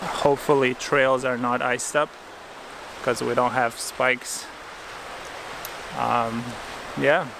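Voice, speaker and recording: Very slowly, a man speaks with fairly even intonation, recorded dry with no echo over noticeable background noise. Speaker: hiking vlogger. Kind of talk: casual vlog chat. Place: forest. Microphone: phone near.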